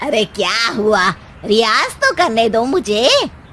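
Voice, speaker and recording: A woman's cartoonish character voice, fairly high in pitch and fairly slow, with lively intonation over clear background noise. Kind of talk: comic cartoon acting.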